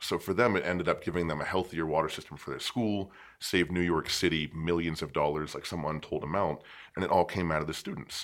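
A man with an American accent and a very deep, low pitch speaks at a very fast pace with fairly even intonation on a very clean recording with a silent background. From western Pennsylvania, east of Pittsburgh. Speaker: poet and teacher. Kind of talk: casual interview chat. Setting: studio.

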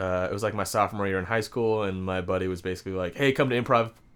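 A man with a West Coast accent speaks at a fairly quick pace. His pitch is fairly low and his intonation fairly even. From Washington State, Seattle suburbs. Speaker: comedian. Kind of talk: casual chat.

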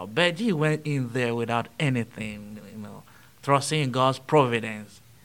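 With a Nigerian accent, a man speaks at a fairly slow pace and a medium pitch. His pitch varies in an ordinary way, while his loudness swings widely. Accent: Nigerian English, noticeable. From Nigeria, Benue State. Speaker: transitional deacon. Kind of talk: interview conversation. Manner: speaks slowly.

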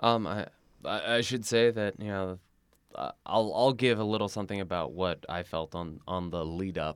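A man with a fairly low pitch talks at a moderate pace with ordinary pitch variation in an ordinary speaking voice, on a very clean recording with a silent background. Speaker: podcast host. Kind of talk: casual chat.

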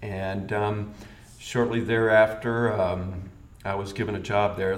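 A man's fairly low, monotone voice with flat intonation and an American accent, with audible room echo and noticeable background noise. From US South, Birmingham, Alabama. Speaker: location sound mixer. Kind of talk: interview.

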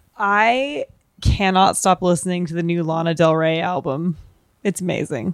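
With an ordinary speaking voice, a woman speaks at a fairly low pitch and with ordinary pitch variation. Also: moderate pace. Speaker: podcast co-host. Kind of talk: casual chat.

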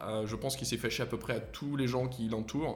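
The speaker keeps a moderate pace while audible room echo lingers around the words. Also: man. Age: 30s. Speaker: entrepreneur. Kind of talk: interview.

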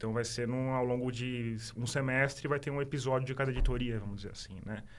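This man speaks at a medium pitch. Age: 40s. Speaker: journalist and podcaster. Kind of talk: casual interview.

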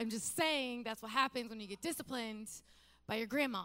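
A woman with a fairly high voice speaks in an animated tone. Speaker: pastor. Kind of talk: sermon; prayer. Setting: church stage with audience.

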